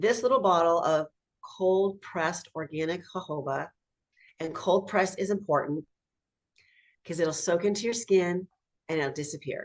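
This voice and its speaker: Animated in tone, a woman with a fairly low pitch speaks at a moderate pace with ordinary pitch variation and long, frequent pauses. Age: 60s. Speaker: health product distributor. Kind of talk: sales pitch.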